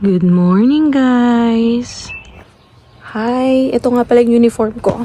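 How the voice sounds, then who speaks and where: Noticeable background noise sits behind speech at a very slow pace with ordinary pitch variation. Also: woman. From Philippines. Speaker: family vlogger. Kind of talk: vlog. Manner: soft-spoken.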